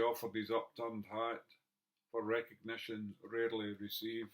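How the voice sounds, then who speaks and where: At a moderate pace, a man talks in a medium pitch. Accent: Scottish. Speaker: poet. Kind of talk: poetry reading.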